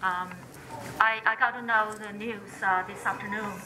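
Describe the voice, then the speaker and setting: Over noticeable background noise and audible room echo, a woman with a Chinese accent speaks at medium pitch and a moderate pace with monotone, flat intonation. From China, Sichuan. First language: Mandarin Chinese. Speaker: activist. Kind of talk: public speech. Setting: candlelight vigil in a temple. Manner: halting.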